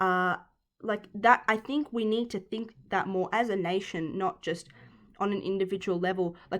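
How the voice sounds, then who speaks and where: Speaking with an Australian accent at a moderate pace, the voice keeps a fairly even intonation on a very clean recording with a silent background. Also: woman, medium pitch for a woman. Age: 20s. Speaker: podcast host and sport science student. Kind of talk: solo podcast talk. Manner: casual with many fillers and restarts.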